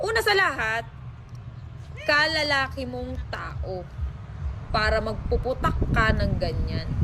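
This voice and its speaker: Very slow pace with long, frequent pauses amid noticeable background noise. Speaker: vlogger or online personality answering a rival or ex. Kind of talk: heated rebuttal aimed at an ex, half-scolding, half-wounded, in a social media response. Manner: swings between sarcastic mockery and wounded, nostalgic appeals.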